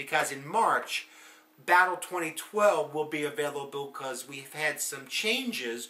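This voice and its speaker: Noticeable background noise surrounds the recording. A man speaks in an American accent. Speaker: political commentator. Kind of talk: monologue video blog. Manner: hesitant, many fillers.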